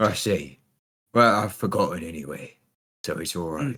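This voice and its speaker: A man puts on a raspy character voice in a Cockney accent, pitched fairly low at a moderate pace. His intonation is lively and his loudness swings widely. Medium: actual play. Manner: rambling, says "I see" a lot.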